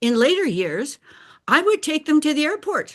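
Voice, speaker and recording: Very wide pitch swings in a woman's voice. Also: quiet background. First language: Bulgarian. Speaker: life coach. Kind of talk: personal talk.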